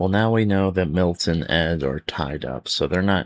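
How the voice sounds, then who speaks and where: Soft-spoken and very deep, a man's low voice comes through dry and close with no echo. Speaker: ASMR creator. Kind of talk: read-aloud children's gamebook for sleep.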